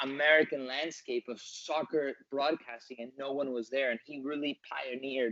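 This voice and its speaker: At a moderate pace and medium pitch, a man speaks in a normal speaking voice with fairly even intonation. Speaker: soccer commentator. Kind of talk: interview answer.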